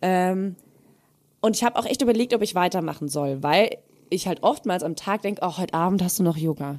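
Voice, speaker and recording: In an ordinary speaking voice, a woman with a medium pitch talks at a fairly quick pace with lively intonation. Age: 30s. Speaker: podcast co-host. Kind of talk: casual chat.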